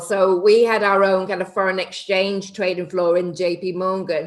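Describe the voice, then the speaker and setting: Noticeable background noise is present throughout. Over it, a woman talks at a medium pitch and a moderate pace. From northern England, between Liverpool and Manchester. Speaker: property investor and TV personality. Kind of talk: podcast interview.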